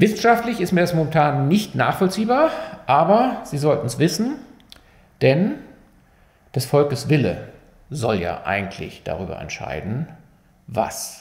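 Fairly high in pitch with vocal fry, a man speaks with very wide pitch swings, big swings in loudness and long, frequent pauses, with audible room echo. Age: 50s. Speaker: physician explaining medical research; physician explaining medical news. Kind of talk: medical explainer video. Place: studio.

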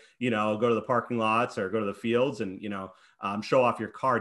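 The background stays quiet. This man's delivery moves at a fairly quick pace. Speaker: podcast host. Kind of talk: interview. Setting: video call. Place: home room. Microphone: video call.

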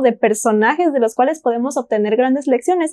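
The intonation is lively, with a Mexican accent. The pace is fairly quick. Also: woman. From Mexico, Celaya, Guanajuato; Guanajuato, Mexico. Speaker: panel discussant. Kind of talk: Bible study discussion; Bible study panel discussion. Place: studio.

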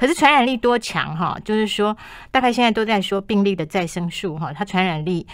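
In a normal speaking voice, a woman of medium pitch talks at a fairly quick pace with lively intonation over a quiet background. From Taiwan. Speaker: health magazine chief writer. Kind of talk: radio interview. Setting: radio studio. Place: studio.

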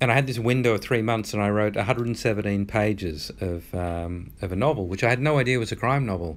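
A man with an Australian accent talks at a fairly quick pace. His pitch is fairly low, with ordinary variation. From rural Australia. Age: 50s. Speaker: author. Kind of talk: interview.

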